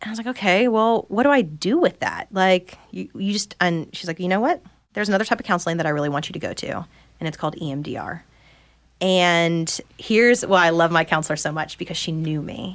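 A woman at a fairly low pitch and fairly quick pace, an unremarkable speaking voice with ordinary pitch variation, in a very clean recording with a silent background. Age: 30s. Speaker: woodworking business owner. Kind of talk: personal testimony in casual interview.

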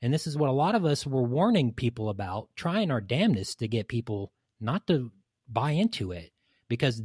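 Somewhat breathy, medium-pitched male voice with lively intonation at a moderate pace, recorded dry and close with no echo in a very clean, silent setting. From East Tennessee. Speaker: podcast guest. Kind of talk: casual chat.

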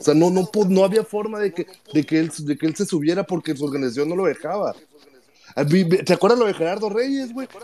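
Against noticeable background noise, a man with a high pitch talks at a fairly quick pace with lively intonation. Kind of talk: casual chat. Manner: animated.

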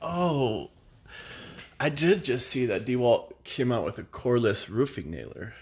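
Against a quiet background, a man with vocal fry moves at a fairly slow pace through very wide pitch swings. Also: medium pitch for a man. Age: 30s. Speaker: podcast co-host. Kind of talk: casual chat. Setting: home, by the fireplace.

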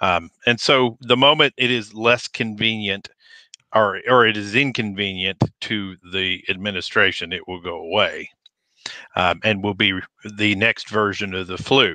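A man talks at a fairly slow pace in a normal speaking voice. His pitch is fairly low, with ordinary variation. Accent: American. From outside Nebraska, US. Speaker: firearms and advocacy channel creator. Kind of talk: political panel discussion.

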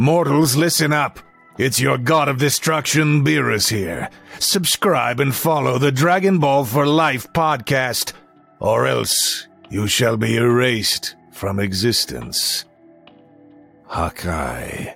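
Doing a put-on character voice, a man speaks at a medium pitch and a fairly slow pace with faint music in the background. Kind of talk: mock-menacing promo voice. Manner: imperious, threatening.

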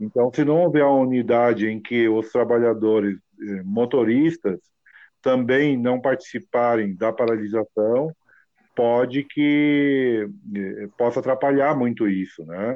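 A man speaks in a plain, everyday voice at medium pitch, with ordinary pitch variation. His loudness stays very even and his pace is fairly slow. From Novo Hamburgo, southern Brazil. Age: 50s. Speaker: ride-hailing driver, mechanic. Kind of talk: casual interview.

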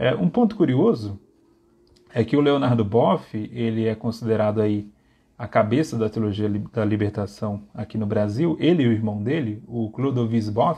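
Speaking at a moderate pace, a man of medium pitch has a dark, mellow tone and ordinary pitch variation. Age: 30s. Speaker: theology lecturer. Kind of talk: lecture. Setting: livestream. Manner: halting.

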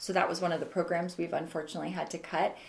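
A woman talks at a medium pitch. Noticeable background noise sits behind her. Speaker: wine trade association executive director. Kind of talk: casual interview. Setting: office.

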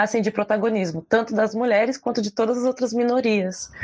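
The woman talks at a fairly quick pace, and her pitch varies in an ordinary way. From southern Brazil, Porto Alegre. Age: 20s. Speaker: writer and poet. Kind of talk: casual chat.

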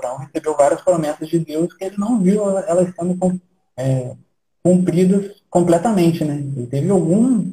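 A man's voice is high in pitch with a dark, mellow tone, at a moderate pace with ordinary pitch variation. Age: 30s. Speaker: church planter. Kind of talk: casual interview.

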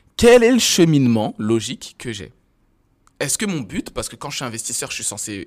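A man's medium-pitched voice at a moderate pace, with very wide pitch swings and big swings in loudness, on a very clean recording with a silent background. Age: 30s. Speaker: startup co-founder. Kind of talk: casual interview.

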